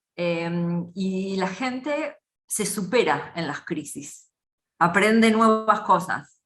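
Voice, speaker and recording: Speaking at a very slow pace, a woman uses lively intonation in an Argentine accent. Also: medium pitch for a woman. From Argentina. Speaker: business consultant. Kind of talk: interview.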